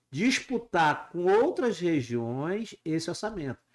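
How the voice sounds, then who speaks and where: A very clean, silent-background recording full of very wide pitch swings. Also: man. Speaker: university rector and candidate. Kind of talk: casual chat.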